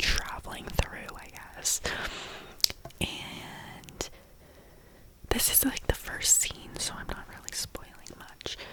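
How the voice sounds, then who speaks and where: A woman's whisper at a very slow pace, with long, frequent pauses, big swings in loudness and noticeable background noise. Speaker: ASMR creator. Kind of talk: ASMR whispered TV show recap. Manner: soft whisper.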